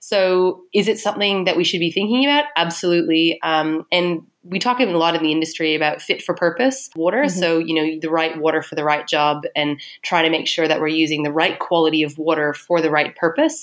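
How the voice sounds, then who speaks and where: An unremarkable speaking voice comes from a woman, fairly low in pitch with ordinary pitch variation. She talks at a fairly quick pace with hardly any pauses. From Canada. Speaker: water industry consultant. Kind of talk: interview conversation.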